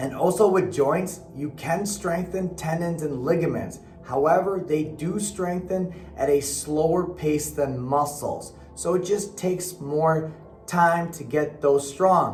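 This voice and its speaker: Music plays behind a man speaking at a very slow pace. His pitch is high, with ordinary variation. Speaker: personal trainer. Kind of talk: fitness advice talk to camera.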